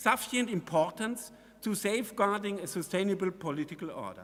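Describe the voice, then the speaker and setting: A man with a German accent talks in a high pitch. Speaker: constitutional court judge. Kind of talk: conference speech. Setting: conference hall with audience. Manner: formal.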